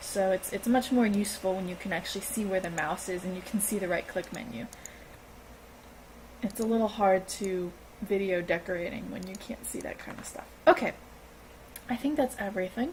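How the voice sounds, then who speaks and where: A woman's medium-pitched voice at a fairly quick pace, with ordinary pitch variation, big swings in loudness, long and frequent pauses, and noticeable background noise. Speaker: gaming video creator. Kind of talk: tutorial. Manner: halting.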